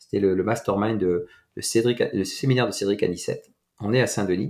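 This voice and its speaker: On a very clean recording with a silent background, a man with a plain, everyday voice speaks at medium pitch and a moderate pace with ordinary pitch variation. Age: 40s. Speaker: entrepreneur and mindset coach. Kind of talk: casual interview.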